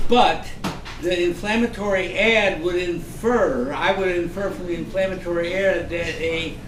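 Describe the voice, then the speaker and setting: A man with a high pitch and ordinary pitch variation, fairly slow pace, audible room echo and noticeable background noise. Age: 80s+. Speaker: panel participant. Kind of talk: panel discussion.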